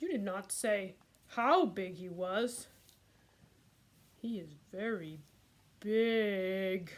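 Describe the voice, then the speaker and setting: A cartoonish character voice moves at a very slow pace with long, frequent pauses. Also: woman, medium pitch for a woman. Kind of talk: puppet story reading.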